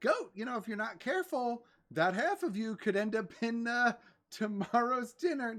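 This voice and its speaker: This female-sounding voice is a put-on character voice. It sits fairly high in pitch and moves at a moderate pace. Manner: teasingly warning, playful.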